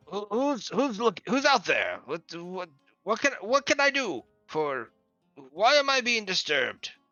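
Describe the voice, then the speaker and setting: A man's gruff, put-on character voice, extremely high-pitched, raised and projected, at a fairly slow pace, with faint music in the background. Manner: irritable, annoyed at being disturbed.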